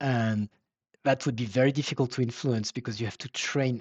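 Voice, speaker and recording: With a French accent, a man speaks at medium pitch and a fairly quick pace. His intonation is fairly even, and the background is quiet. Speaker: webinar presenter, software company founder. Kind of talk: Q and A answers; webinar presentation. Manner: halting, many fillers.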